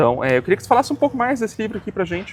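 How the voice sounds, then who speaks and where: Noticeable background noise sits under a man's voice with ordinary pitch variation. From Brazil. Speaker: interviewer, history channel host. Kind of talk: academic interview. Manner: hesitant, many fillers.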